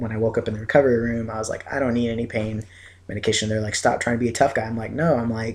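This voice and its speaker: A man's medium-pitched, somewhat breathy voice at a very fast pace, monotone and flat in intonation. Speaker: video blogger. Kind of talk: casual vlog update. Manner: hesitant, many fillers.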